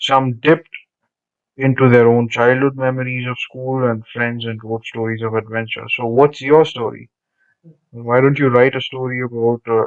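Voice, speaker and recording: A man's medium-pitched voice in a Telugu accent, with monotone, flat intonation at a moderate pace. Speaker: teacher. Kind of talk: lesson reading textbook aloud with commentary. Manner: conversational, with fillers.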